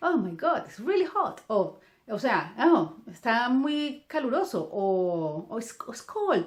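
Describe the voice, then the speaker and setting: This woman has a Colombian accent and a fairly high pitch. Her pitch swings very widely. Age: 40s. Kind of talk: religious reflection talk. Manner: halting with many fillers.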